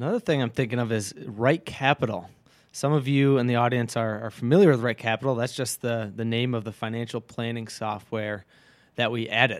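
Here is an unremarkable speaking voice from a man with an American accent, at a medium pitch. He goes at a fairly quick pace with fairly even intonation. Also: very clean recording, silent background. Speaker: financial advisor. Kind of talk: casual chat. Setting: studio.

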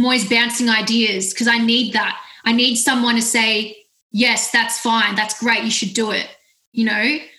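Fairly high female voice with an Australian accent, moderate pace and very even loudness. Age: 20s. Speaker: music platform founder. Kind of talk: casual interview. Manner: animated.

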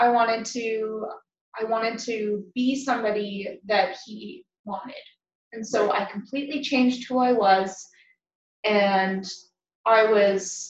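A woman with a western Canadian accent speaks very slowly in a fairly high, somewhat breathy voice, with fairly even intonation, long and frequent pauses, big swings in loudness, and audible room echo. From southern Alberta, Canada (Lethbridge). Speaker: nurse and massage therapist. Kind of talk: interview.

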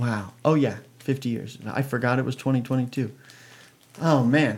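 The man's speech has ordinary pitch variation. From US Pacific Northwest (Oregon). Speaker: radio host. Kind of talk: casual interview. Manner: animated.

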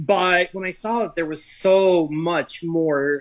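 In an American accent, the man talks. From Seattle, US Pacific Northwest. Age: 40s. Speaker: high school athletic director. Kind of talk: casual interview chat. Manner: animated.

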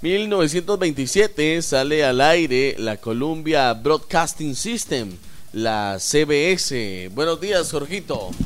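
A man with a fairly high voice speaks very slowly, his pitch swinging very widely. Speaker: radio host. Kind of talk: casual chat.

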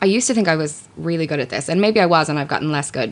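A woman speaks with an Irish accent. Her pitch sits fairly low. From Ireland. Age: 30s. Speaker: radio presenter and writer. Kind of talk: casual chat.

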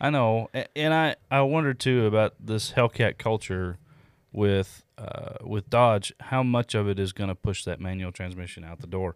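A man with an unremarkable speaking voice talks at a moderate pace and fairly low pitch, with ordinary pitch variation. The recording is very clean with a silent background, and the sound is dry and close with no echo. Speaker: car podcast co-host. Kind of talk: casual banter, joking along with the infomercial bit. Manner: playful, jokey.

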